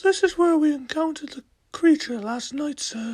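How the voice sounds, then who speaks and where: A put-on character voice comes through at a high pitch. It keeps a moderate pace. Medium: audio drama. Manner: formal, report-like.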